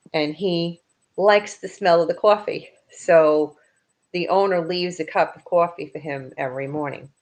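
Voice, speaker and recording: In an American accent, a woman with a fairly low pitch and ordinary pitch variation talks at a moderate pace with big swings in loudness. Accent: Bronx accent, comes out when angry. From New York, the Bronx. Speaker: author and paranormal investigator. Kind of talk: casual interview chat.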